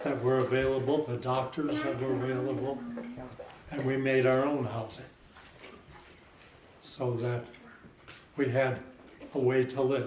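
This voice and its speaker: A man speaks in a monotone, flat intonation with long, frequent pauses. Audible room echo and noticeable background noise surround him. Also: medium pitch for a man, fairly slow pace. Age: 80s+. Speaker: war veteran. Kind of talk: interview.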